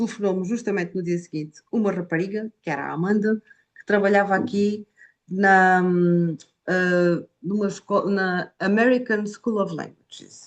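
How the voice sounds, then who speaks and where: Speaking with an Algarve accent, a woman uses a medium pitch at a fairly slow pace, her loudness swinging widely. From Portugal, Algarve. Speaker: Portuguese language teacher. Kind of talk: interview. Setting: video call.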